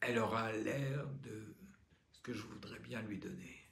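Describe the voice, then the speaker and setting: Speaking very slowly with a somewhat breathy voice at a medium pitch, a man is heard with audible room echo. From Normandy, France (pays de Caux). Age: 60s. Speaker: patient advocate, former actor. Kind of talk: testimony.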